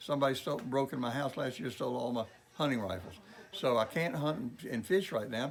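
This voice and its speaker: A fairly quick delivery in a Mississippi Delta accent, with ordinary pitch variation. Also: man. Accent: Mississippi Delta Southern US. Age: 70s. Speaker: clothing store owner. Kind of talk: interview. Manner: halting, with fillers.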